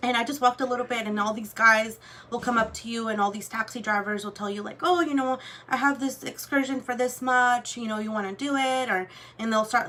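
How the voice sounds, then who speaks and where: Against noticeable background noise, a woman speaks at a fairly quick pace in a fairly high pitch with ordinary pitch variation. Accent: Spanish. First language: Spanish. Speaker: luxury goods vlogger. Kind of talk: casual chat. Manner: casual, filler-heavy.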